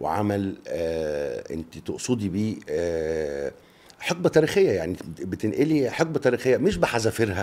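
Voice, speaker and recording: A man's fairly low voice at a fairly slow pace, with very wide pitch swings. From Egypt. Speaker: actor. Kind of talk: radio interview answer. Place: studio. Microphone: studio mic.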